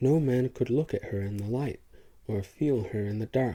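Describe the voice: The reading aloud is plain, and its pitch variation is ordinary.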